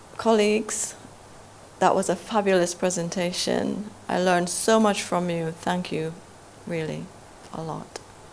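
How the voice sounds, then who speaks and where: A woman talks at a fairly slow pace with a fairly low pitch and fairly even intonation. Long pauses come often, and there is noticeable background noise. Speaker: academic, anti-racism researcher. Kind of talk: panel discussion. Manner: loud.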